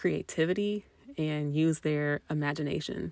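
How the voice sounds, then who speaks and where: A woman with a US Midwestern accent speaks at a very deep, low pitch. The sound is dry and close with no echo, over a quiet background. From Indiana, US Midwest. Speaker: podcast host, mother. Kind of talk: casual monologue.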